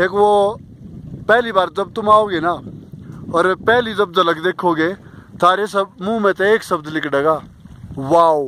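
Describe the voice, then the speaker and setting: A man speaks in a Haryana accent over noticeable background noise. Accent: Haryanvi. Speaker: motorcycle rider. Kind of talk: travel vlog commentary to camera. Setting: outdoors, windy. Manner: casual, enthusiastic.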